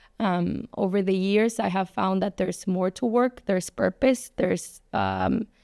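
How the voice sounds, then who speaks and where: A woman speaks with a slight Spanish accent at a medium pitch, her tone dark and mellow, her pitch varying in an ordinary way. The pace is fairly slow with hardly any pauses, the loudness very even, and the sound dry and close with no echo. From Mexico City. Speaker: advertising agency owner and influencer. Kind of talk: podcast interview.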